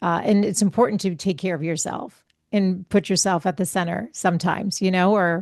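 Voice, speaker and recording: A woman's normal speaking voice at medium pitch, fairly quick in pace, with fairly even intonation over a quiet background. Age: 50s. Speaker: holistic health coach and podcaster. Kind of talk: casual chat.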